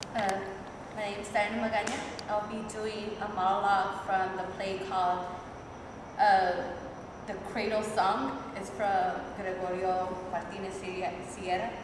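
Flat, monotone speech at a fairly slow pace, with long, frequent pauses, audible room echo and noticeable background noise. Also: woman. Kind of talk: monologue performance. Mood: dreamy, admiring. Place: stage. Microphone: camera far.

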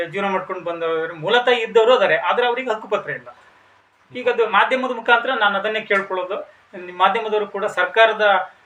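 A man's high-pitched voice with fairly even intonation, big swings in loudness, and noticeable background noise. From India, Karnataka, Shivamogga district (Thirthahalli taluk). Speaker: former village council member and farmer. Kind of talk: interview. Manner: halting.

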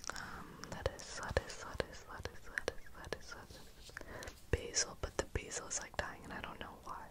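A man whispering at a moderate pace with hardly any pauses. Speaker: ASMR creator. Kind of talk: casual rambling talk to the listener. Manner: soft-spoken, relaxed. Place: home room. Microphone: studio mic.

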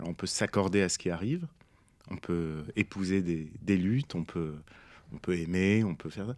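The pace is moderate, with long, frequent pauses and ordinary pitch variation. The sound is dry with no echo, against a quiet background. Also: man, very deep, low pitch for a man. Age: 40s. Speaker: poet and author; poet. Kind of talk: interview. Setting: studio. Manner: halting, many hesitations. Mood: calm, reflective. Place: studio. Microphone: studio mic.

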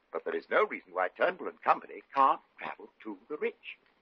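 A man puts on a character voice with a husky, rough edge. He moves at a fairly quick pace with big pitch swings. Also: fairly low pitch for a man.

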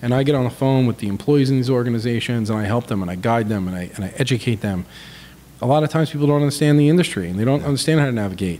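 A man with an American accent at a very fast pace, dark, mellow tone and ordinary pitch variation, light background noise behind him. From New York (Long Island). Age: 40s. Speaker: business consultant and entrepreneur. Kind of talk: casual chat. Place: home room. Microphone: studio mic.

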